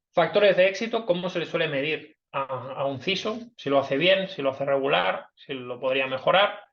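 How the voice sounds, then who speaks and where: With lively intonation, a man speaks at a moderate pace and a fairly high pitch. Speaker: cybersecurity director, invited speaker. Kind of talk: webinar talk. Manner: hesitant, many fillers.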